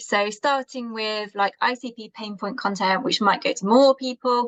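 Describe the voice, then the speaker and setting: Using a normal speaking voice, a woman talks at a moderate pace and a fairly high pitch, with fairly even intonation and a dry, close sound with no echo. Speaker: marketing presenter. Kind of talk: presentation.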